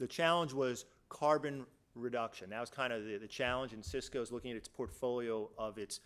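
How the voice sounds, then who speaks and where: Recorded very cleanly against a silent background, a man talks at a medium pitch with ordinary pitch variation. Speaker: business executive presenter. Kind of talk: conference presentation. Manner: fast.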